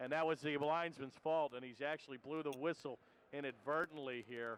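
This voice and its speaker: At a fairly quick pace, a man with a fairly high pitch speaks with fairly even intonation. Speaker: hockey commentator. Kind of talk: live commentary. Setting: broadcast booth at ice rink. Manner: loud.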